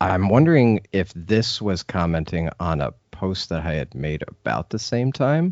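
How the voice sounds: Here we hear a natural reading voice.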